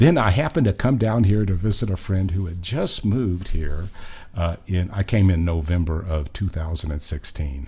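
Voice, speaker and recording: A somewhat breathy voice with a dark, mellow tone and an American accent moves at a moderate pace with lively intonation. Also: man, very deep, low pitch for a man. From Oklahoma. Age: 70s. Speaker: singer-songwriter, retired nurse. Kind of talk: casual interview chat.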